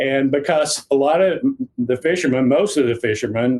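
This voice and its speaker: This man talks in a fairly high voice with a slight Southern US accent. His pace is fairly slow, and his pitch varies in an ordinary way. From Tennessee. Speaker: fishing author and guide. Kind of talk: podcast interview.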